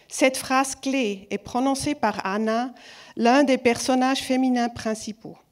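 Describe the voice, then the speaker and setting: A woman's high voice with a non-native accent, very slow and fairly even in intonation. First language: not French (speaking French). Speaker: film festival jury member. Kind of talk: award speech. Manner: halting, self-correcting.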